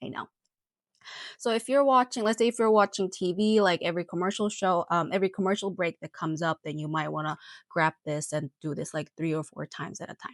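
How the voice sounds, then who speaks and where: Lively intonation from a woman at a fairly low pitch with a Korean accent, on a very clean recording with a silent background. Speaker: nurse. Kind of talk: tutorial. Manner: hesitant, many fillers.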